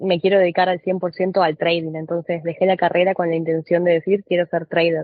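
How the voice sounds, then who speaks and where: A woman speaks in an Argentine accent. Her pitch is medium and her intonation monotone and flat. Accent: Argentine Spanish (voseo). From Argentina. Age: 20s. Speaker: trader. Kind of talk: podcast interview.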